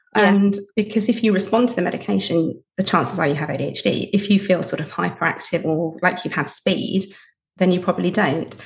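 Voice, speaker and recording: The voice carries vocal fry and ordinary pitch variation. It moves along at a fairly quick pace. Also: woman, medium pitch for a woman. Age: 40s. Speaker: podcast host and widowed mother of four, guest. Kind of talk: recorded sign-off message; casual interview chat. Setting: recording from her bedroom; remote recording with headphones.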